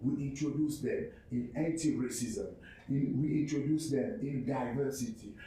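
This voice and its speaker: A speaker with a French accent talks at a fairly slow pace amid noticeable background noise and audible room echo. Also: man. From Cameroon. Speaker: entrepreneur and arts organization representative. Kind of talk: presentation pitch. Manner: halting, many fillers and repetitions.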